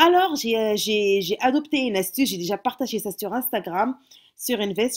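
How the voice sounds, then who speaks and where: A woman's fairly high, lively voice with a Moroccan accent, at a fairly quick pace, in a very clean recording with a silent background. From Morocco. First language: Moroccan Arabic (speaking French). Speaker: YouTuber, mother. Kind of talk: casual vlog tutorial. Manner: halting, many hesitations.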